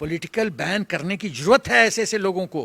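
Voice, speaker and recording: A man's bright, sharp, animated voice, recorded dry and close with no echo. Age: 70s. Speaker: retired army general. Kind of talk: political commentary interview. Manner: animated, emphatic.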